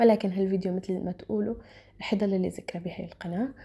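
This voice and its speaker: Somewhat breathy, a woman's medium-pitched voice carries a dark, mellow tone. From Syria, Damascus. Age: 20s. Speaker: vlogger. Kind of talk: casual Q&A vlog. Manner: halting, with fillers.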